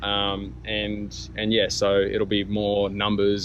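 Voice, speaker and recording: A man's fairly low voice with an Australian accent. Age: 20s. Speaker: small business owner, vlogger. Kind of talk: casual vlog monologue. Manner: halting, many ums.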